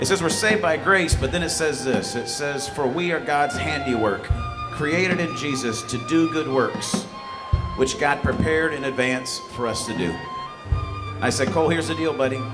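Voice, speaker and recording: A man speaks at a moderate pace with clear music playing in the background. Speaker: event host giving a talk. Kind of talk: sermon. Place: bar. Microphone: studio mic.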